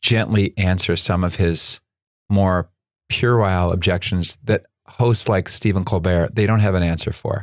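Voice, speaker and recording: This man has a normal speaking voice, pitched fairly low, with fairly even intonation at a moderate pace. The sound is dry and close with no echo, and the recording is very clean with a silent background. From Canada, Nova Scotia. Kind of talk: casual interview.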